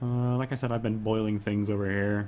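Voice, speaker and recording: A man speaks at a moderate pace in a fairly low voice. His intonation stays fairly even. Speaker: video game streamer. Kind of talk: casual chat. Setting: live stream.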